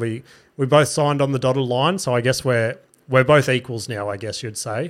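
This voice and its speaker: On a very clean recording with a silent background, the voice proceeds at a moderate pace, its pitch varying in an ordinary way. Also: man. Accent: Australian. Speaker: comedian podcast host. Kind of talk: solo casual podcast monologue. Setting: studio. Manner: rambling, casual, profane.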